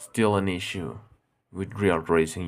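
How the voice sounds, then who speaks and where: In a Spanish accent, a man speaks at a very deep, low pitch with vocal fry. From Mexico. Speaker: gaming streamer. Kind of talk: live gameplay stream chat. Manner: halting, self-correcting. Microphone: bad microphone.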